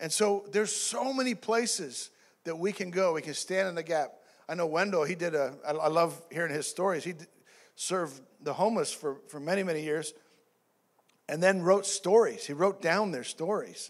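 The background is quiet as a man talks at a moderate pace. His pitch is high, with ordinary variation. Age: 50s. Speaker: pastor. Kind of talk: sermon. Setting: church. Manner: halting, many fillers and repeats. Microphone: handheld.

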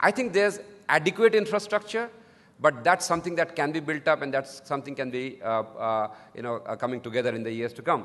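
Speaking at a very fast pace, a man uses lively intonation with big swings in loudness. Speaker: speaker. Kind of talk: conference talk. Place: hall. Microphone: podium.

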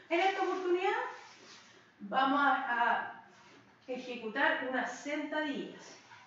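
Strong room echo surrounds a woman speaking at a high pitch. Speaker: fitness instructor. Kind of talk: tutorial. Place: empty room. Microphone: camera far.

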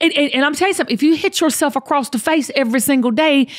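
A woman with a Southern US accent talks at a very fast pace in an energetic tone and a high pitch. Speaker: podcast host. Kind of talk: casual podcast talk. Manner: energetic, motivational. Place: home room. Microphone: studio mic.

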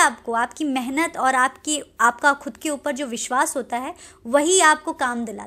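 This woman's voice is high-pitched, raised and projected. Her tone is bright and sharp, with ordinary pitch variation. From Lucknow, Uttar Pradesh, India; Uttar Pradesh. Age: 20s. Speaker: film and TV actress; TV actress. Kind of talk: interview. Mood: friendly, smiling. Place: home room. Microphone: handheld.

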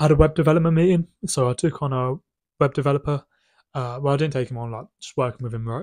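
Over a quiet background, a man speaks at a very fast pace in a fairly high voice. His loudness swings a lot. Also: ordinary pitch variation. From UK. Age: 20s. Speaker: business owner vlogger. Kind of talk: casual vlog monologue. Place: home room. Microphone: phone near.

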